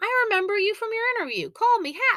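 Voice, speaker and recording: A woman talks at a very fast pace in a put-on character voice. It is squeaky and extremely high in pitch. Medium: read story. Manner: hearty, jovial.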